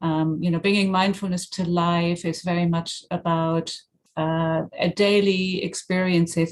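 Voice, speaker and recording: Speaking very slowly with a German accent, a woman uses a monotone, flat intonation at a fairly low pitch. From Germany. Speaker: mindfulness teacher and author. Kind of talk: interview.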